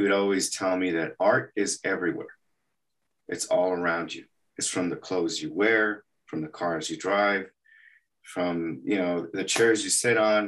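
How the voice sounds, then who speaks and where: A plain, everyday voice at a fairly slow pace with fairly even intonation. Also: man, fairly low pitch for a man. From El Paso, Texas. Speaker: animation artist. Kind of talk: interview.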